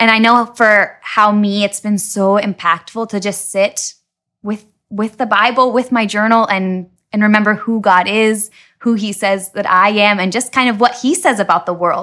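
A woman's medium-pitched voice, bright and sharp in tone, with fairly even intonation at a moderate pace in a very clean recording over a silent background. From Washington State. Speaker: missionary. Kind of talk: casual interview.

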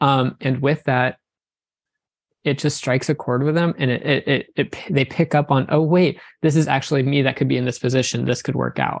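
A fairly high-pitched male voice with vocal fry, monotone, flat intonation and a fairly quick pace, in a dry, close sound with no echo. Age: 20s. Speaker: wedding photographer. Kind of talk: casual interview.

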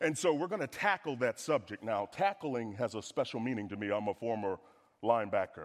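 In an American accent, a medium-pitched man talks at a moderate pace with an animated tone and lively intonation, on a very clean recording with a silent background. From US South. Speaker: guest preacher, financial speaker. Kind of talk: sermon. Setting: church with congregation.

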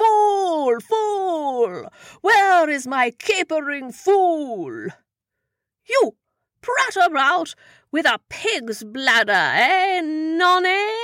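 Someone drags through the words at a very slow pace in a put-on character voice with an extremely high pitch. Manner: blustering, petulant, boozy.

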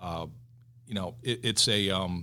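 The speaker is a man with a Western New York accent. He talks at a very slow pace. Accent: Western New York (Inland North) American. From Buffalo, New York. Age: 50s. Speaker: commercial real estate executive. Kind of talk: interview.

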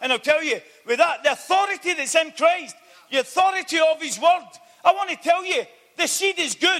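A man's raised, projected voice sits extremely high in pitch, with an animated delivery and a bright, sharp tone. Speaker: visiting preacher. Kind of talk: sermon. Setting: church evening meeting. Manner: fervent, urgent, exhorting the congregation; animated, repeating phrases for emphasis.

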